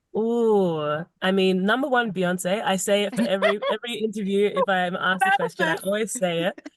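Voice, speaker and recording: A woman's medium-pitched voice in a British accent, at a moderate pace with hardly any pauses and ordinary pitch variation. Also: very even loudness. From Zimbabwe. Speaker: singer-songwriter. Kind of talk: podcast interview answer.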